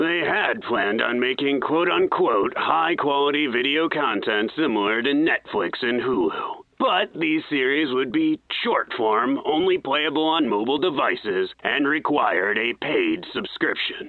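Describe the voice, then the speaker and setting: Here is a man with a fairly high pitch. His pace is moderate. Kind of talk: old-time radio acting. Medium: audio drama. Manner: concerned, dry humor.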